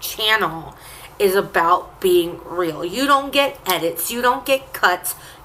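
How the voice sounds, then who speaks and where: There is noticeable background noise behind this woman. Her pitch shows ordinary variation. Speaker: vlogger. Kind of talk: casual chat. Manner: animated.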